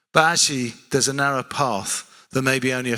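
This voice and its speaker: This man has a South London accent and a medium pitch. His tone comes across bright and sharp. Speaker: preacher. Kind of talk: sermon.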